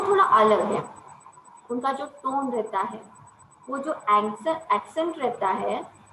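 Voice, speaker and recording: In a high voice with very wide pitch swings, a woman speaks with a non-native accent amid audible room echo. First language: not Kannada (speaking Hindi). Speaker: college lecturer. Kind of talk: lecture.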